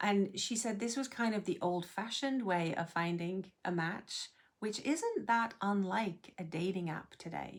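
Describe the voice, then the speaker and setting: With an American accent, a woman speaks at a fairly slow pace and medium pitch, using ordinary pitch variation and hardly any pauses. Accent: sounds more American than English. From England. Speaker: expat life vlogger. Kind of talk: personal storytelling.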